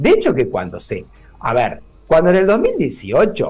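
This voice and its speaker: With music in the background, a man speaks in a Rioplatense accent. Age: 60s. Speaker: neurologist. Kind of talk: radio interview. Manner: hesitant, filler-heavy.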